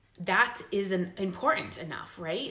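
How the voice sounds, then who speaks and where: Speaking at a moderate pace and a medium pitch, a woman is heard with audible room echo and noticeable background noise. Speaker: fitness business coach. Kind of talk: recruitment pitch talk.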